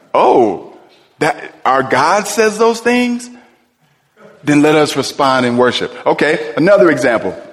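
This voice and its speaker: A man with an American accent speaks in a high, animated voice with very wide pitch swings. Long, frequent pauses and audible room echo mark the recording. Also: very even loudness. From US Midwest, Cleveland. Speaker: pastor. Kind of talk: sermon.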